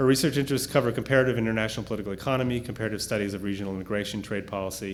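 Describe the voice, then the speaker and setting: This man speaks with fairly even intonation. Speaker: professor introducing panelists. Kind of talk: formal speaker introductions, reading bios. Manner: fast.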